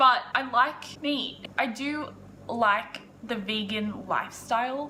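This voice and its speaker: Against noticeable background noise and audible room echo, a woman with an Australian accent speaks in a high pitch with ordinary pitch variation. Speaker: lifestyle YouTuber. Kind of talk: casual vlog. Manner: loud.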